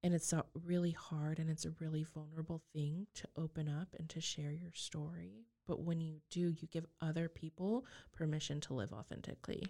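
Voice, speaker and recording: A woman with an American accent speaks at a very deep, low pitch in a dark, mellow tone, at a moderate pace with ordinary pitch variation. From Texas Panhandle. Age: 20s. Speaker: abuse survivor sharing her story. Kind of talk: testimony.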